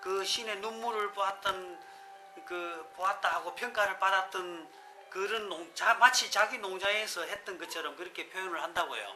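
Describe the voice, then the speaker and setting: A raised, projected voice at a moderate pace, ordinary pitch variation, and music in the background. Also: man. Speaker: coffee shop owner. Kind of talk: casual unedited talk about coffee. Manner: chatty, joking.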